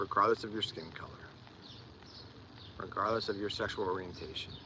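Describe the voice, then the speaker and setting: A man with an American accent talks fairly quickly against noticeable background noise. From US, Delaware County near Philadelphia. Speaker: live streamer, life coach. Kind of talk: live stream chat. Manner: repeats words when speaking.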